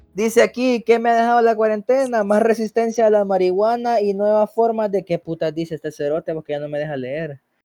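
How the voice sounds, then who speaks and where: With music in the background, a man with a Salvadoran accent speaks at a high pitch and a fairly quick pace, with ordinary pitch variation and hardly any pauses, in a dry, close sound with no echo. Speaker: podcast host. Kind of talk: casual chat.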